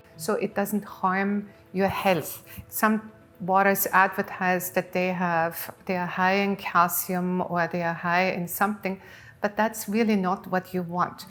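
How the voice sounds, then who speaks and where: A woman speaks in an Austrian accent at a medium pitch. Her fairly slow delivery has monotone, flat intonation. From Austria, Innsbruck. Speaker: water company founder. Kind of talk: TV interview. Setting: TV studio set.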